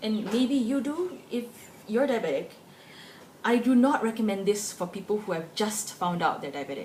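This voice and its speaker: A woman has an unremarkable speaking voice with lively intonation. She talks at a moderate pace. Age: 20s. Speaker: vlogger. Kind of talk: personal opinion vlog. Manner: casual, conversational.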